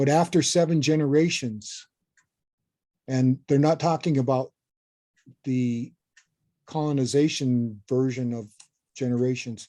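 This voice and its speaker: A man's medium-pitched, dark and mellow voice at a fairly slow pace, with fairly even intonation, long, frequent pauses and a quiet background. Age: 70s. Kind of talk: lecture. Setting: video call.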